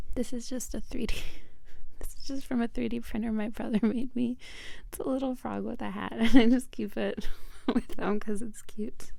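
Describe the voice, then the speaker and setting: At a moderate pace, the voice is soft-spoken, with a soothing, dark, mellow tone, fairly even intonation and big swings in loudness. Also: woman, high pitch for a woman. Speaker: reiki practitioner. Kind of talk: ASMR crystal show-and-tell. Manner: soft, soothing.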